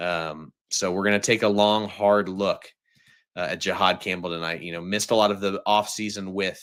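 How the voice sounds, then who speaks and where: In a very clean recording with a silent background, a man with a fairly low pitch speaks in a bright, sharp tone with fairly even intonation. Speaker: football film analyst YouTuber. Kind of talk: live stream commentary. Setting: live stream. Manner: fast; casual, filler-heavy.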